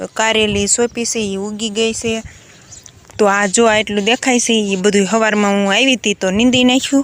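A woman's fairly high voice with flat, monotone intonation. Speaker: village vlogger. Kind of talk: vlog narration. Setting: outdoors on farm.

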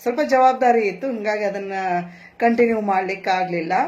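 A woman with a North Karnataka accent, medium in pitch with fairly even intonation. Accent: North Karnataka Kannada. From North Karnataka (Badami, Hubballi, Belagavi). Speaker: amateur singer. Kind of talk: interview.

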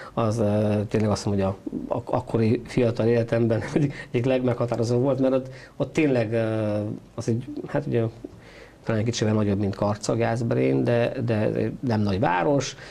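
A man speaks at a fairly quick pace, his tone dark and mellow and his intonation fairly even. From Transylvania, Székely Land (Romania); Transylvania, Romania. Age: 50s. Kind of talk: interview. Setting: studio. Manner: halting. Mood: calm, reflective life story. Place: studio. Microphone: lapel.

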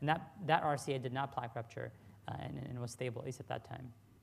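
A man's somewhat breathy voice at a very fast pace, with fairly even intonation. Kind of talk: lecture. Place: hall. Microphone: podium.

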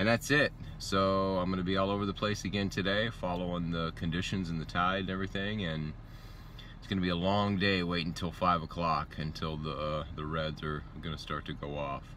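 A man speaks at a fairly quick pace with a very deep, low pitch and a bright, sharp tone, his pitch varying in an ordinary way, the sound dry with no echo and light background noise behind him. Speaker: fishing vlogger. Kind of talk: casual vlog chat. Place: car. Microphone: phone near.

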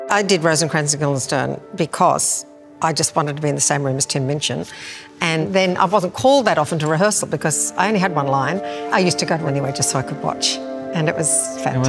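Clear music plays in the background. A woman with a very deep, low pitch talks at a very fast pace. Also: ordinary pitch variation. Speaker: stage actor. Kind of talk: interview answer. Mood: warm, nostalgic. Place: hall.

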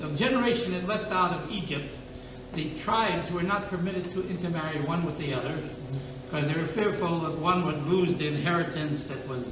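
The speech moves at a fairly quick pace with ordinary pitch variation. Audible room echo and noticeable background noise surround it. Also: man, high pitch for a man. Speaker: rabbi teaching a class. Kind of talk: lecture. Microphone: old recording.

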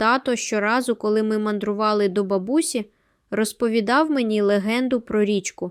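Fairly even intonation marks a natural reading voice.

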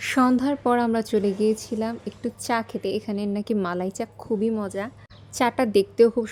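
Fairly high-pitched, a woman's voice has a dark, mellow tone. She keeps her intonation fairly even. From Bangladesh, Dhaka. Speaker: travel vlogger. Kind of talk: vlog narration.

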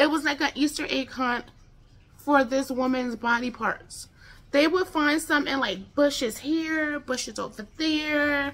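A woman with an American accent projects a raised voice at a high pitch, with a bright, sharp tone. She speaks at a fairly slow pace with ordinary pitch variation. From United States. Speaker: true crime YouTuber. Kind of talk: true-crime narration, casual storytelling. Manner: conversational, informal, chatty; animated, with filler words. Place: home room. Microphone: phone near.

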